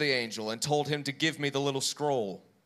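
In a normal speaking voice, a man with a fairly high pitch talks at a moderate pace with ordinary pitch variation. The recording is very clean with a silent background. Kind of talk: reading aloud scripture. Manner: measured, steady.

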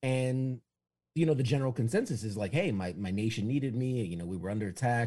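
A man's medium-pitched, somewhat breathy voice with a dark, mellow tone and an American accent, very fast and lively in intonation, on a very clean recording with a silent background. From New York City. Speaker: military veteran. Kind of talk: podcast interview. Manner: halting, frequent restarts.

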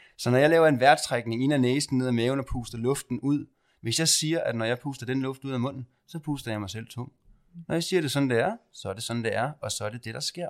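On a very clean recording with a silent background, a man with a plain, everyday voice of medium pitch and ordinary pitch variation talks at a fairly quick pace. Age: 30s. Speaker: podcast host and spiritual medium. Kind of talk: guided meditation; casual chat.

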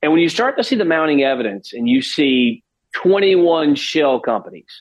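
At a fairly slow pace, a man with a plain, everyday voice speaks with lively intonation. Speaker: political communications strategist. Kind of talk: interview.

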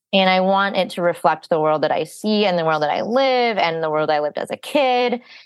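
A woman's plain, everyday voice at medium pitch, with an American accent, lively intonation and a fairly quick pace. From Texas. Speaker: TV writer for kids' animation. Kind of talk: casual interview chat.

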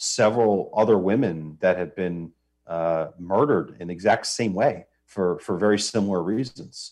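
In a plain, everyday voice, a man talks at a moderate pace with a fairly low pitch and ordinary pitch variation against a quiet background. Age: 30s. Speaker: advocacy group director. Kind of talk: interview. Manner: many filler words (uh, um).

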